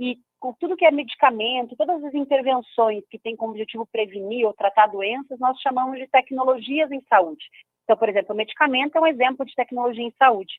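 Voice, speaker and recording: Her pitch high and ordinary in variation, a woman talks at a fairly quick pace with big swings in loudness. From Brazil, Curitiba (Paraná). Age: 30s. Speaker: patient advocate, founder of a cystic fibrosis institute. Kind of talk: radio interview.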